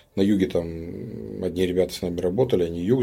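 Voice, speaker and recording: Recorded very cleanly against a silent background, a man speaks at a moderate pace in a very deep, low voice with a dark, mellow tone. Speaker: businessman. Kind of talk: interview conversation.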